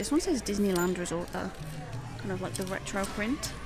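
A woman is heard with clear music in the background and a dry sound with no echo. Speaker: shopping vlogger. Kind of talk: casual vlog chat. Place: shop. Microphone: phone near.

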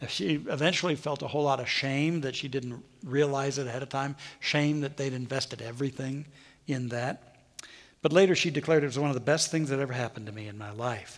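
A man talks at a very fast pace with a fairly high pitch against a quiet background. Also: ordinary pitch variation. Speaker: minister giving a sermon. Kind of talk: sermon delivered to a congregation, speaking extemporaneously. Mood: earnest, storytelling. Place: church. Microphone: headset.

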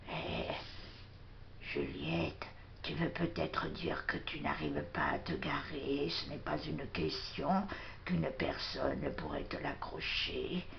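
Over loud background noise, a woman whispers in a cartoonish character voice at a fairly slow pace. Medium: puppet.

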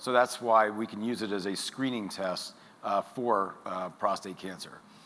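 Speaking at a fairly slow pace, a man uses an ordinary speaking voice with a medium pitch and ordinary pitch variation. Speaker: urologist. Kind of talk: lecture. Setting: online webinar. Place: hall. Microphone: lapel.

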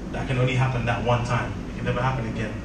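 Loud background noise and audible room echo surround a man's voice. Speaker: event host. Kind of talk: speech to an audience. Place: hall.

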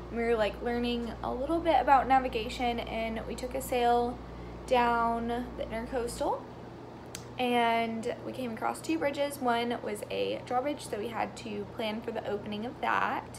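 Noticeable background noise is present. Over it, a woman's speech moves at a moderate pace. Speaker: vlogger. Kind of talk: casual vlog chat. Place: home room. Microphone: phone near.

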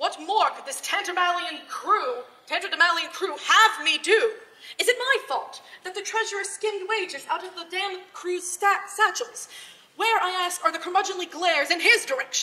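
The voice is raised and projected, with a bright, sharp tone. Its loudness swings a lot. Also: woman, ordinary pitch variation, moderate pace. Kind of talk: dramatic reading of own piece. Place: hall. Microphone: camera far.

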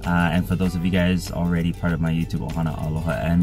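The speaker goes at a very fast pace with fairly even intonation while music plays clearly in the background. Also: man. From Hawaii. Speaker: YouTube reactor. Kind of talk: casual talk to camera. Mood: calm, somber lead-in. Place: car. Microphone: phone near.

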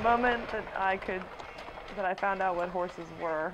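A woman with an American accent, medium pitch, moderate pace, light background noise. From Maryland, Frederick; Maryland. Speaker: barn manager. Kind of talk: casual interview; tutorial. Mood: calm, relaxed.

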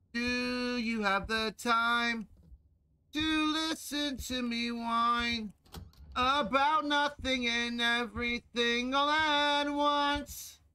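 A put-on character voice, whiny, with a whiny tone and a very slow pace. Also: female-sounding voice, high pitch for a woman. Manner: whiny, complaining.

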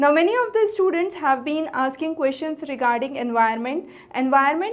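A woman speaks at a moderate pace in a high voice. Her intonation is lively. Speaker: teacher. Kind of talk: lecture. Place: studio. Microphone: lapel.

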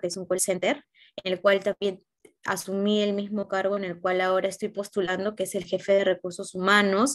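A woman's monotone, flat delivery at a moderate pace against a quiet background. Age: 20s. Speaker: job candidate in a mock interview; interview candidate. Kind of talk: simulated job interview. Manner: hesitant, many filler sounds. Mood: calm, earnest. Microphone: video call.

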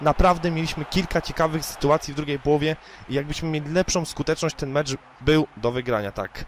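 A man with a fairly high voice speaks very fast in an animated tone, his pitch varying in an ordinary way. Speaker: gaming YouTuber. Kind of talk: gameplay commentary.

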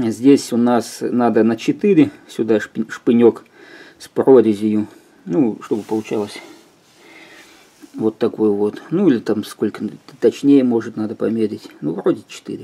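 Speaking at a very slow pace, the voice has a dark, mellow tone, ordinary pitch variation, big swings in loudness, and long, frequent pauses. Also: man. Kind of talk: tutorial. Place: home room. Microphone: phone near.

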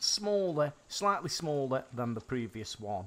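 With an English accent, a man speaks in a fairly high voice that makes very wide pitch swings. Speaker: gaming youtuber. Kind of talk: gameplay commentary. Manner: animated.

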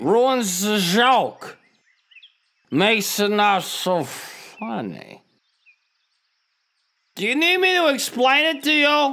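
A man uses a put-on character voice at an extremely high pitch. He speaks at a very slow pace with long, frequent pauses. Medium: audio drama. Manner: cheerful, chatty, oblivious.

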